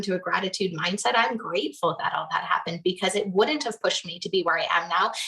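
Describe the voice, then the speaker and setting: Against noticeable background noise, a woman speaks with a Canadian accent. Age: 30s. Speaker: business coach. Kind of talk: interview storytelling.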